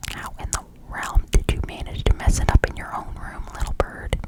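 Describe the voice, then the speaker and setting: Noticeable background noise accompanies whispering at a moderate pace. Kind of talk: read story. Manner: whispered.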